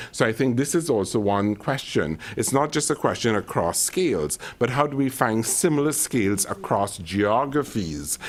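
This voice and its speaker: A man with a slight Caribbean accent talks at a moderate pace with lively intonation. Noticeable background noise runs through the clip. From Caribbean island. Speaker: climate adaptation expert, panelist. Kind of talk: panel discussion.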